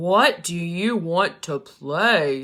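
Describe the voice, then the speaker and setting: A female-sounding put-on character voice holds a middle pitch. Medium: read story. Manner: gruff, dismissive.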